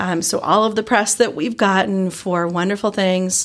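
In a Southern US accent, the speaker uses ordinary pitch variation. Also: woman. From Georgia, US South. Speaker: biotech researcher and innovation organization leader. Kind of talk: casual interview. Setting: in-person studio/office interview.

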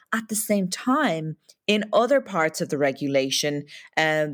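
A woman with an Irish accent and a very deep, low pitch, at a moderate pace, in a very clean recording with a silent background and a dry, close sound with no echo. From Ireland. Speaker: human rights lawyer, policy director. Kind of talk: interview about tech policy. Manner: hesitant, with fillers.

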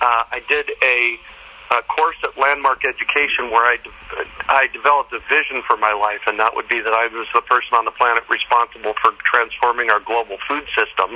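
A man at medium pitch, fairly quick and with hardly any pauses, fairly even in intonation, against noticeable background noise. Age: 60s. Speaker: permaculture teacher and urban farmer. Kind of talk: interview. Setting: outdoors in a backyard.

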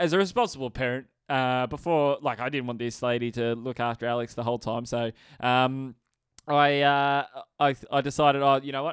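This man talks with an Australian accent. His pace is moderate. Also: very clean recording, silent background. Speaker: podcast co-host. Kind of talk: casual chat. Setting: studio. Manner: animated.

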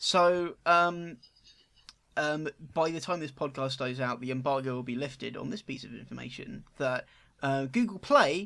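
Fairly high in pitch, a man's bright, sharp voice comes through in a very clean recording with a silent background. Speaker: podcast host. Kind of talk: casual chat.

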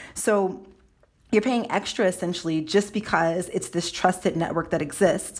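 At a moderate pace, a woman talks in an ordinary speaking voice, with her pitch medium and its variation ordinary. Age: 20s. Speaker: tech journalist. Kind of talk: podcast interview.

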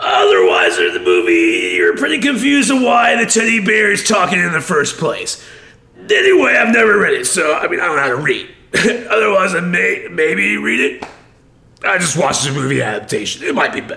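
A man's put-on character voice at a fairly quick pace. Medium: game stream. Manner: rambling, dopey, enthusiastic.

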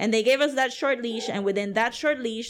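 The recording is very clean, with a silent background. A woman speaks at a fairly high pitch. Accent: Puerto Rican. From Puerto Rico, San Juan. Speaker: comics creator and festival organizer. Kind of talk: casual chat.

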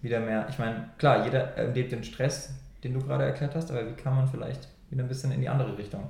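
There is audible room echo as a man talks with a somewhat breathy, dark, mellow tone. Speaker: podcast co-host. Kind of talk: casual chat.

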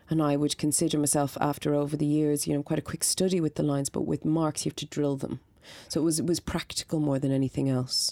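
A woman's very deep, low voice with a dark, mellow tone and a Dublin accent, monotone and flat at a very fast pace, on a very clean recording with a silent background. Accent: Dublin Irish. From Ireland, north Dublin. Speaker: stage and film actor. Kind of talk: interview.

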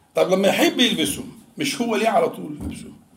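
With audible room echo, a man with an Egyptian accent speaks at a high pitch. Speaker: Islamic preacher. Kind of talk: religious lesson. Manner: conversational, mixing classical and colloquial Arabic.

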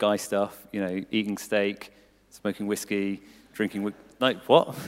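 In a very clean recording with a silent background, a man with a southern English accent speaks at a fairly slow pace and a fairly low pitch. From England, Cambridgeshire. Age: 20s. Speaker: church staff member and volunteer. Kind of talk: testimony in church interview. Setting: church service with audience.

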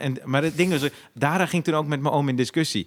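Talking at a fairly quick pace, this man has an ordinary speaking voice with ordinary pitch variation. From Zaandam, Netherlands (Poelenburg). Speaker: comedian and podcast host. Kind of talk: casual chat.

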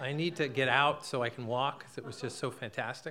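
His intonation is fairly even, and he talks fairly quickly. The man has a normal speaking voice, pitched in the medium range. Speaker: storyteller. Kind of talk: live storytelling. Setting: stage with audience.

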